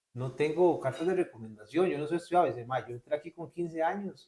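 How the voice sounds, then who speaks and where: Talking at a fairly quick pace, a man uses a fairly high pitch with ordinary variation. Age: young. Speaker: graphic designer. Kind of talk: casual interview storytelling. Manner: animated.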